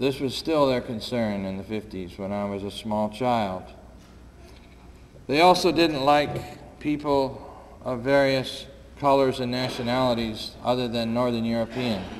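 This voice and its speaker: A man with an American accent speaks at a fairly slow pace with ordinary pitch variation, over noticeable background noise and audible room echo. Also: medium pitch for a man. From upstate New York. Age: 60s. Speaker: war veteran and peace activist. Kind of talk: public talk. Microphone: too quiet at first, volume raised.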